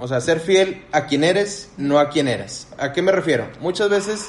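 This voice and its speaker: A man with a Mexican accent at a moderate pace, ordinary pitch variation, and noticeable background noise. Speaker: podcast co-host. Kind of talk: casual chat.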